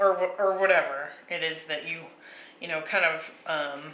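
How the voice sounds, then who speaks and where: A woman's fairly low, fairly evenly intoned voice at a fairly slow pace, amid audible room echo and noticeable background noise. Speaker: tarot reader. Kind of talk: tarot reading monologue. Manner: halting with many fillers.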